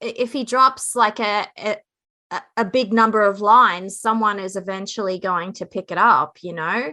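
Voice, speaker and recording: Bright, sharp tone from a woman with an Australian accent, ordinary pitch variation, a moderate pace and a quiet background. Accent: Australian, noticeable. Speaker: true crime podcaster. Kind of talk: casual podcast discussion.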